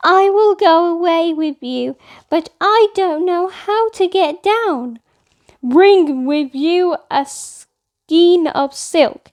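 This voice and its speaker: A woman uses a put-on character voice pitched extremely high. She talks at a very slow pace. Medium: read story.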